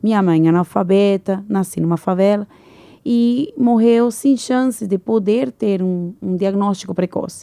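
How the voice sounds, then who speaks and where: A woman with a Venezuelan accent speaks fairly slowly at a medium pitch, her tone dark and mellow, her pitch varying in an ordinary way, and the sound dry and close with no echo. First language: Spanish (speaking Portuguese). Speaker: engineer and entrepreneur. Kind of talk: podcast interview.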